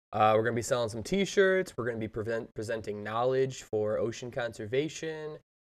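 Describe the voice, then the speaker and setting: With a normal speaking voice, a man talks at medium pitch and a fairly quick pace, using lively intonation and hardly any pauses. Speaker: podcast host. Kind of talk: casual chat.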